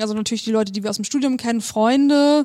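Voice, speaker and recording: A woman with a normal speaking voice talks in a fairly high pitch with fairly even intonation. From northern Germany, near Hamburg. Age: young. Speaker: lawyer. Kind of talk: casual interview. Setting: law office.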